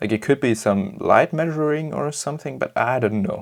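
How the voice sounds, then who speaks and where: With a non-native accent, a man talks at a fairly slow pace and ordinary pitch variation. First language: German. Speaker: camera modding tutorial maker. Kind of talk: tutorial. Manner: hesitant, many fillers.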